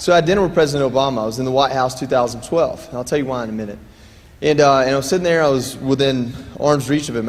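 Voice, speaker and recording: A man speaks at a fairly high pitch with ordinary pitch variation. Audible room echo surrounds the voice. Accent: Southern US. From US South, Dalton, Georgia. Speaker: war veteran. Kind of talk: keynote speech. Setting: stage with audience. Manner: conversational, joking.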